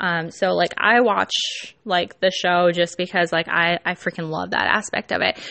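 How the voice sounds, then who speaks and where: A woman with an American accent, a fairly low pitch, fairly even intonation and a moderate pace. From California. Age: 20s. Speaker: podcast host and startup founder. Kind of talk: casual solo podcast monologue. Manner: giggly, many fillers.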